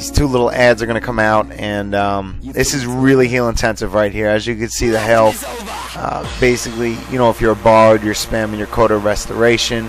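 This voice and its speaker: A man speaks at a medium pitch and a fairly quick pace, with fairly even intonation. Music plays in the background. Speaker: gamer narrating a boss guide. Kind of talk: tutorial voiceover. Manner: casual, halting with repetitions.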